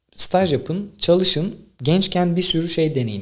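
A man's unremarkable speaking voice, lively in intonation, at a fairly slow pace. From Tekirdağ, Turkey. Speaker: podcaster and content creator. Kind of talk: solo monologue, casual talk to camera. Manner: conversational, informal.

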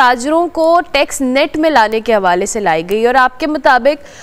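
A woman's lively intonation carries her words at a fairly slow pace. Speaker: morning show host. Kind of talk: talk show interview.

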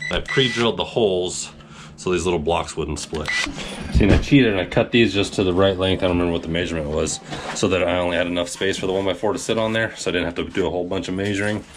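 Very fast speech from a man with a very deep, low pitch and ordinary pitch variation, plus light background noise. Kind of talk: tutorial. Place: home room. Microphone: camera far.

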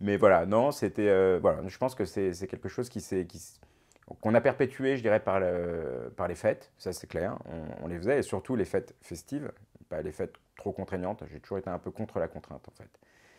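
A fairly low-pitched man at a moderate pace, with lively intonation and big swings in loudness over a quiet background. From Paris suburbs, Essonne, France; France. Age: 40s. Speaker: retired businessman, father of an influencer; father of an influencer, interviewee. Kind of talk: interview. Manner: hesitant, many repetitions. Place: studio. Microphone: lapel.

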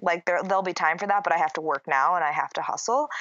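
A woman with a Minnesotan accent speaks in a fairly low pitch. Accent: Minnesota. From US Midwest, Minnesota. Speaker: yoga and wellness entrepreneur. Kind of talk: casual interview chat.

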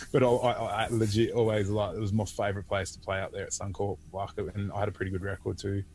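A very fast, monotone delivery with flat intonation, somewhat breathy and with hardly any pauses, in an Australian accent, dry with no echo over light background noise. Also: man, fairly low pitch for a man. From Australia, Port Macquarie NSW. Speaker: former rugby league player. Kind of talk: casual interview. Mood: jovial, laughing. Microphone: earbuds.

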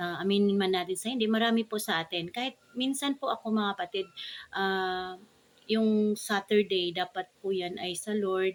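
In a normal speaking voice, a woman talks at a moderate pace, her medium pitch kept in a fairly even intonation. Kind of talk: devotional talk with prayer. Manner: formal.

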